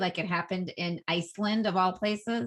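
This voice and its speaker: A woman speaks with a Boston accent at a medium pitch and a moderate pace. The recording is very clean, with a silent background. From Boston area, US. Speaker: Instagram expert, entrepreneur. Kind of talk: interview.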